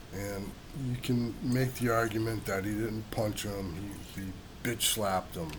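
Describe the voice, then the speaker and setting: There's audible room echo around a man speaking in a fairly low voice. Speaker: video blogger. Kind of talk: casual rant monologue. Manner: slow; animated.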